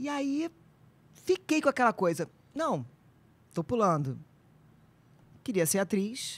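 The speaker talks at a very slow pace with long, frequent pauses. Pitch swings are very wide. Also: woman, fairly high pitch for a woman. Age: 50s. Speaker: actress and nutritionist; actress. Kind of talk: casual chat. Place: studio. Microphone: studio mic.

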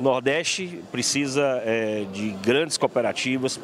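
A man talks with ordinary pitch variation. The sound is dry with no echo, and there is light background noise. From Bahia, Brazil. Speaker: agricultural cooperative vice-president. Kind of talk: interview. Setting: event venue. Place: hall. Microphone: handheld.

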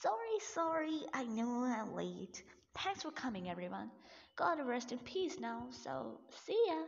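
A female-sounding voice in a put-on character voice speaks at a moderate pace and high pitch. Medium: dub. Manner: casual, dismissive.

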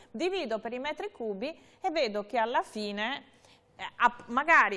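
A woman speaks at a fairly slow pace in a high pitch with a bright, sharp tone. Her pitch swings very widely. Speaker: tv host. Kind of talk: interview on consumer topics. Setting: studio. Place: studio.

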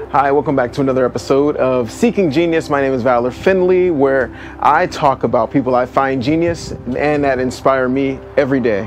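With music in the background, a man talks at a fairly quick pace with ordinary pitch variation. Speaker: video host. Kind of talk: casual vlog chat. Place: open country. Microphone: lapel.

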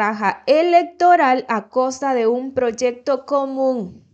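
A high-pitched woman speaks in an animated tone with lively intonation. The background is quiet. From El Salvador. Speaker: news commentary youtuber. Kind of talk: news commentary. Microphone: studio mic.

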